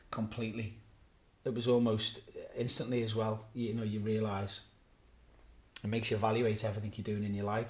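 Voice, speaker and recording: This man's voice is fairly low and somewhat breathy. His intonation stays monotone and flat, with audible room echo. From Birkenhead, Merseyside, northern England. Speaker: pastor. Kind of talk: interview. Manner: hesitant, with filler words.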